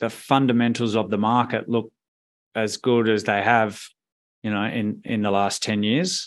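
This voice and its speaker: A man in an Australian accent at a fairly slow pace, against a quiet background. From Perth, Western Australia. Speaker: fund manager. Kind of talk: interview.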